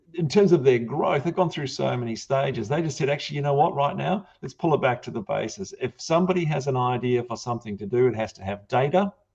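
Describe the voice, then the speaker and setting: Somewhat breathy and fairly high, a man's voice moves at a fairly quick pace with lively intonation and a New Zealand accent. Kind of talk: panel discussion.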